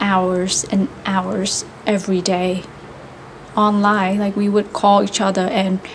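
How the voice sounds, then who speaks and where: Over noticeable background noise, a woman at medium pitch speaks fairly slowly in a monotone, flat intonation. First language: Vietnamese. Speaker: vlogger practicing English. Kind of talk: casual monologue. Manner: halting, many fillers.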